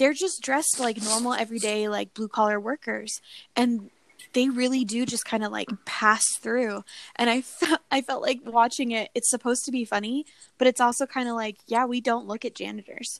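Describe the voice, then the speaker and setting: With fairly even intonation and a fairly high pitch, a woman speaks at a moderate pace in an ordinary speaking voice. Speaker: podcast co-host. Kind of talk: casual chat.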